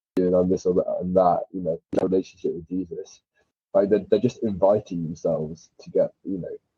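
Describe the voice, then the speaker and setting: A man with a British accent at a fairly quick pace, with big swings in loudness. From UK. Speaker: caller. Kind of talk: casual chat. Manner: halting.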